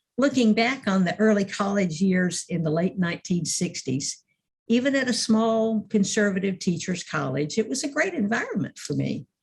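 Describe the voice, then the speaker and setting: Lively intonation marks a voice with some breathiness. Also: woman, medium pitch for a woman, moderate pace. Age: 70s. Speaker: minister. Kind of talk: sermon.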